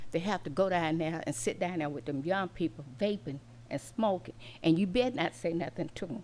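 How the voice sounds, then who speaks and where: Her pitch sits fairly low for a woman yet swings very widely as she speaks at a moderate pace. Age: 70s. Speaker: member of the public. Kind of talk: public comment.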